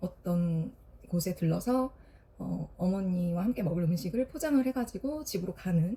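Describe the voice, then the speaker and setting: With lively intonation, a woman speaks fairly slowly at medium pitch, her tone dark, mellow and somewhat breathy. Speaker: florist and vlogger. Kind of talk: casual film review vlog. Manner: hesitant, many fillers.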